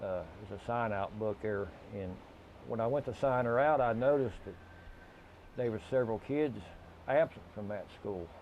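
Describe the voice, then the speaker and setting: Medium-pitched male speech at a moderate pace, with ordinary pitch variation and long, frequent pauses. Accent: Appalachian. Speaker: local resident, grandparent. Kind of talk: interview testimony.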